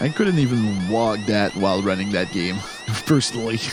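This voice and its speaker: A man speaks at a fairly low pitch. Music plays in the background, and the room echo is audible. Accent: French Canadian. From Quebec. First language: French. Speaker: speedrun commentator. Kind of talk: live commentary. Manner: hesitant, many fillers.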